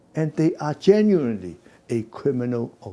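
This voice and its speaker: The man's pitch swings very widely at a moderate pace. His tone is dark and mellow. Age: 70s. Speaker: businessman. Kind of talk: interview. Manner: halting.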